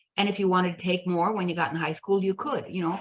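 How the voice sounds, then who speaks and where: With an American accent, a woman talks in a somewhat breathy voice at medium pitch, with ordinary pitch variation. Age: 70s. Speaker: podcast host. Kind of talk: casual interview chat.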